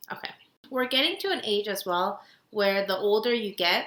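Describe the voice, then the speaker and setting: A loud, animated woman's voice with a bright, sharp tone, medium pitch, ordinary pitch variation and a moderate pace. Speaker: podcast co-host. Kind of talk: casual chat.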